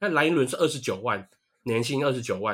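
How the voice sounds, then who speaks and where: A man talks at a fairly high pitch and a fairly quick pace. The recording is very clean, with a silent background. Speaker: baseball podcast co-host. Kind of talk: casual chat. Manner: animated.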